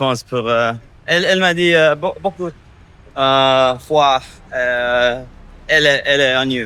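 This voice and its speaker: A man speaks at a fairly slow pace with long, frequent pauses. His loudness stays very even. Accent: English. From US, Minnesota. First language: English (speaking French). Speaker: expat. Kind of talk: casual interview. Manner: halting.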